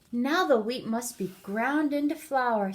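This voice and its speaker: A put-on character voice at a fairly slow pace. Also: woman, high pitch for a woman. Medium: read story.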